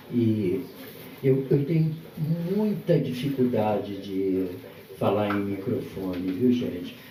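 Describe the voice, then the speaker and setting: The voice moves at a very slow pace with lively intonation and long, frequent pauses. Audible room echo and noticeable background noise fill the recording. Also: man, medium pitch for a man. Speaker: guest speaker at book launch. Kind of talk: live talk at book launch event. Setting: event venue with audience and microphone. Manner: soft-spoken.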